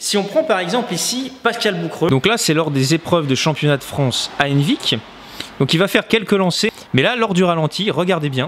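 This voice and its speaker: Noticeable background noise sits behind a man's high-pitched voice, which moves at a moderate pace with lively intonation and very even loudness. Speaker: knife thrower, video creator. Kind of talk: reaction video commentary.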